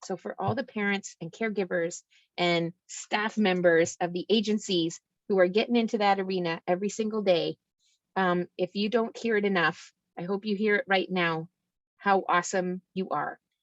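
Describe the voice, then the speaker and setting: A woman with an ordinary speaking voice, medium pitch, fairly even intonation and moderate pace, in dry, close sound with no echo. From Ontario, Canada. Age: 50s. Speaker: youth mental health worker. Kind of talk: presentation.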